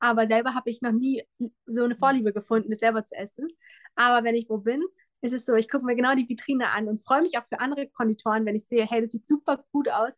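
A woman speaks at a very fast pace in a high pitch, with a dry, close sound and no echo. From Brandenburg, Germany. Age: 20s. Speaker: pastry chef and café owner. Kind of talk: interview. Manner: animated.

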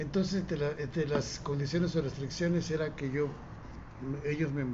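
Fairly even in intonation and fairly high in pitch, a man speaks with audible room echo. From Mexico. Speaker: poet and musician. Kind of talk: interview.

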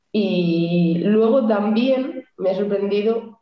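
The speaker's pitch varies in an ordinary way, with audible room echo around the voice. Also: woman. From Cantabria, Spain. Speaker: futsal goalkeeper. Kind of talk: casual interview.

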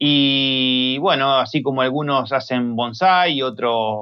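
A man with a normal speaking voice talks at a medium pitch. His pitch variation is ordinary. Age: 40s. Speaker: native plant grower. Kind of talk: interview.

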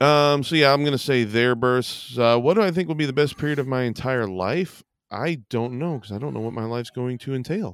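Speaking at a fairly quick pace with hardly any pauses, a man uses a normal speaking voice at a medium pitch with ordinary pitch variation. The recording is very clean, with a silent background. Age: 40s. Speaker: comedy podcast co-host. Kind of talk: casual chat.

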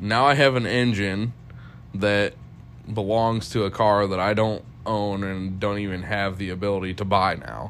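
A man with a fairly low-pitched voice speaks in a room with audible echo while music plays in the background. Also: fairly even intonation, moderate pace. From Ohio, US. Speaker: mechanic and podcast co-host. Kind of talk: casual chat.

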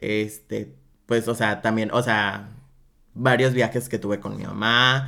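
In a bright, sharp tone, a man talks at a fairly slow pace. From Mexico, Guadalajara. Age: 20s. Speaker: drag performer. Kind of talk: casual interview.

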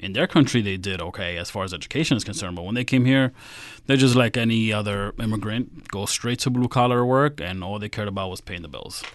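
Someone with an American accent talks at a very fast pace with big swings in loudness. Pitch variation is ordinary, and the background is quiet. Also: man, fairly low pitch for a man. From US, New York (Queens). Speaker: financial strategist. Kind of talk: casual interview.

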